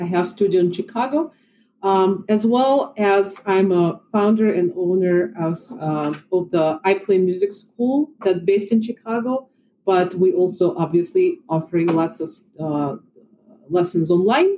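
A woman's dark, mellow tone at medium pitch, in a Russian accent, with ordinary pitch variation and a fairly slow pace. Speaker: violin and piano teacher. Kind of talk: casual chat.

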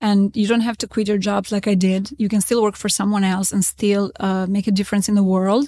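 In an Albanian accent, a woman talks at a fairly quick pace with hardly any pauses. Her tone is dark and mellow, somewhat breathy, with monotone, flat intonation. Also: medium pitch for a woman, very clean recording, silent background. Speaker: real estate consultant. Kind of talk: interview. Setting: on location at a conference.

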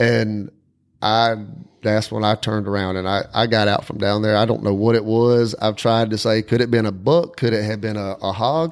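A Southern US accent at a moderate pace, with fairly even intonation, on a very clean recording with a silent background. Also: man, fairly low pitch for a man. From South Carolina, Whitmire. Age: 40s. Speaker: podcast host, coon hunter. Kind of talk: casual chat.

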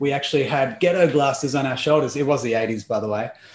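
The man's voice sits fairly high, with ordinary pitch variation. He talks at a fairly quick pace. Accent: Australian. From Australia (Melbourne, later Perth). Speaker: life coach. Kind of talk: interview conversation.

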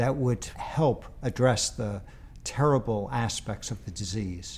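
Somewhat breathy and at a fairly slow pace, this voice has an American accent on a very clean recording with a silent background. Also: man. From New York City, Queens. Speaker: university president and physicist. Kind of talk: interview.

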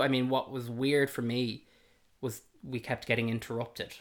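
A man of medium pitch speaks in a Dublin accent. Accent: Dublin Irish. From Ireland, south Dublin. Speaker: host's partner. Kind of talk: casual chat. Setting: at home.

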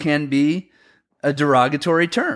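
On a very clean recording with a silent background, a man with an American accent uses a plain, everyday voice, fairly high in pitch with ordinary pitch variation. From US inland Northwest. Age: 50s. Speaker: snowboard event organizer. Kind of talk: casual chat.

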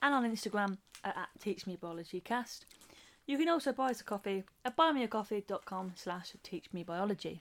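At a moderate pace and medium pitch, a woman speaks with an English accent on a very clean recording with a silent background. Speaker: podcast co-host. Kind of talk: casual chat.

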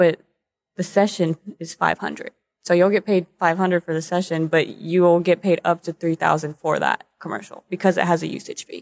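A woman with an American accent speaks at a fairly quick pace, her pitch fairly low and her intonation monotone and flat. The sound is dry and close, with no echo. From Texas, Corpus Christi. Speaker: model and actor. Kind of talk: casual interview.

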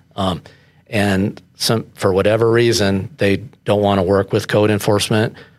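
Fairly low in pitch, a man talks with an American accent in a monotone, flat way. His loudness stays very even. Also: moderate pace. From Colorado Springs, US. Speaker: code enforcement officer. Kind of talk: casual interview.

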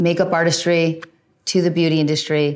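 A woman with a New Jersey accent and a very deep, low pitch. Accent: American (New Jersey). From New Jersey, US. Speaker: podcast host. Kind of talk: solo monologue answering listener questions.

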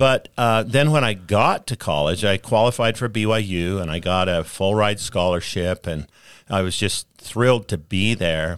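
A plain, everyday voice from a man with an American accent, fairly low in pitch with ordinary pitch variation, at a fairly slow pace, on a very clean recording with a silent background. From US West, rural Utah and northern Arizona. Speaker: former state senator. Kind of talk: interview. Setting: studio.

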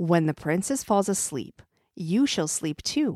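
A woman's medium-pitched voice with a warm, gentle tone and very wide pitch swings, fairly slow, in a very clean recording with a silent background and dry, close sound with no echo. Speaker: storyteller podcast host. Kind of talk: fairy-tale narration, reading aloud with character voices. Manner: animated, dramatic, expressive storytelling; warm, gentle, child-friendly pacing.

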